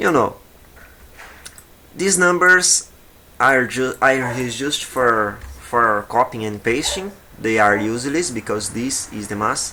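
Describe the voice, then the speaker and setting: This man has a medium pitch and a Portuguese accent, with lively intonation. He talks at a very slow pace, with long, frequent pauses. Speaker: video game modding tutor. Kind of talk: tutorial. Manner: halting.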